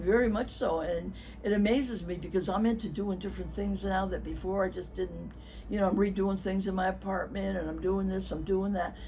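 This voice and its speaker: A woman talks at a moderate pace. Audible echo from the room surrounds her voice. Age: 80s+. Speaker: patient giving testimonial. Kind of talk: testimony.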